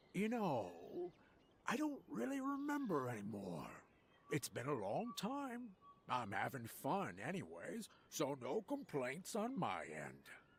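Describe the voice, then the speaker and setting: Using a put-on character voice, a man talks at a fairly slow pace with a fairly high pitch and a relaxed tone. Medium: read story. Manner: relaxed, easygoing.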